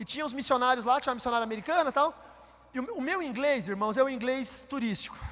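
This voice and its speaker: Talking at a very fast pace with an extremely high pitch and ordinary pitch variation, a man speaks with a Paraná accent over noticeable background noise. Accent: Paraná Portuguese with retroflex R. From Brazil, Paraná. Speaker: pastor. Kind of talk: sermon. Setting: church.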